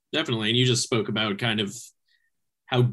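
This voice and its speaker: Recorded very cleanly with a silent background, a man of medium pitch has an ordinary speaking voice. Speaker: podcast host. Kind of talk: casual interview.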